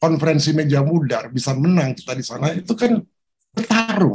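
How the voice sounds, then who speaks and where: Lively intonation in a man's fairly high voice. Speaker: professor. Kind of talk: interview. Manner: animated.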